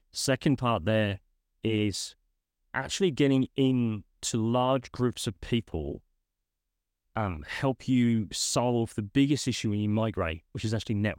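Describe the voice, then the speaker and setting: In a British accent, a man speaks at a medium pitch and a fairly slow pace with ordinary pitch variation, the sound dry and close with no echo. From UK. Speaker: guest, career professional and migrant. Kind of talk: interview conversation.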